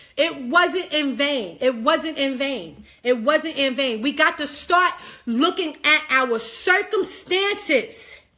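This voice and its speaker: In a raised, projected voice, a woman speaks with a high pitch, a bright, sharp tone, an animated manner and lively intonation, captured in a very clean recording with a silent background. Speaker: online preacher. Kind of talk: sermon.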